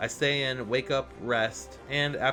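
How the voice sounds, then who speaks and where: A man's voice over background music. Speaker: gaming video narrator. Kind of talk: game playthrough narration.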